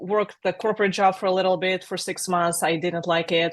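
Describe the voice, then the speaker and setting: Over a quiet background, a woman with a Russian accent speaks at a medium pitch in a monotone, flat intonation. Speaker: software agency founder. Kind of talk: interview.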